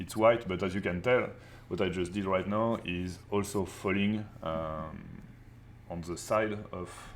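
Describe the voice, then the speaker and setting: Someone with a French accent speaks at a fairly slow pace with fairly even intonation. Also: man, very deep, low pitch for a man. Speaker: art teacher. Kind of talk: live online class.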